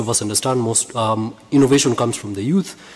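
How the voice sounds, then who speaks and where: Noticeable background noise sits behind a man at a medium pitch. He moves at a fairly quick pace with fairly even intonation. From Kenya. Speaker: audience member asking a question. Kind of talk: audience question at a conference.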